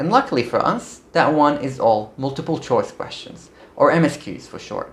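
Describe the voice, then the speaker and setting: A man with a non-native accent talks at a moderate pace with lively intonation. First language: not English. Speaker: medical student YouTuber. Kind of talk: vlog tutorial. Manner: casual, upbeat.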